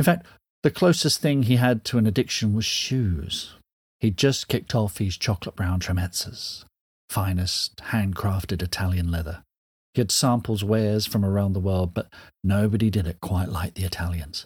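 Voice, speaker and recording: A man speaks in a dramatic tone, somewhat breathy and fairly low in pitch. The recording is very clean, with a silent background. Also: ordinary pitch variation, moderate pace. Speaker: author reading a story. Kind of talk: dramatic narration, reading aloud. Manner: dramatic, expressive, measured storytelling pace.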